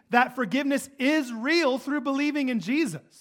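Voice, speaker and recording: A man talks loudly at an extremely high pitch. His pitch varies an ordinary amount. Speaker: pastor. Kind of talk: sermon. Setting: church.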